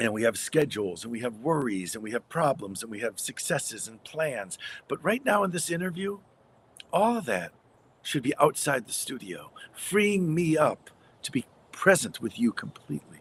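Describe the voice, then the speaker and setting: A man with an American accent, fairly high pitch and vocal fry, very wide pitch swings and big swings in loudness, at a moderate pace. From US Midwest. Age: 60s. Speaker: radio broadcaster and story coach. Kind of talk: interview conversation.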